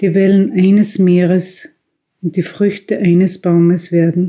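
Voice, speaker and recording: At a very slow pace, a woman speaks in a medium pitch with monotone, flat intonation. Her tone is dark and mellow. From Austria. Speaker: tobacconist shop owner, reading a prayer. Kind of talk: religious prayer reading.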